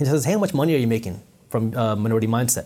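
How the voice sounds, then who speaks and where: Very fast and somewhat breathy, a man's voice carries a dark, mellow tone. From US, child of Punjabi Indian immigrants.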